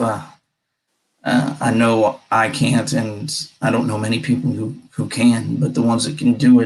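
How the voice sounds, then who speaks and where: At a moderate pace, a man speaks with vocal fry. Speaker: podcast host. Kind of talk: casual chat.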